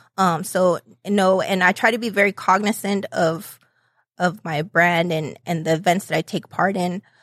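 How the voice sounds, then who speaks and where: Over a very clean recording with a silent background and a dry, close sound with no echo, a woman with an American accent uses a plain, everyday voice at medium pitch, speaking at a moderate pace with fairly even intonation. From upstate New York. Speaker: entrepreneur, pop-up event founder. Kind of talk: interview.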